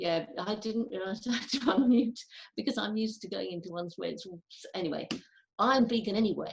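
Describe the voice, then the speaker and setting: A fairly quick delivery with vocal fry and big jumps in loudness. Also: woman, fairly high pitch for a woman, ordinary pitch variation. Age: 70s. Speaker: audience member. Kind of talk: casual chat.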